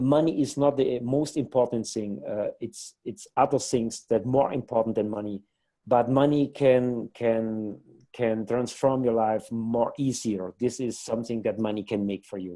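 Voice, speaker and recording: Speaking with a non-native accent, a man with a dark, mellow tone and medium pitch keeps a moderate pace and fairly even intonation. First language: not English. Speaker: company co-founder. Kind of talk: interview. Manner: halting.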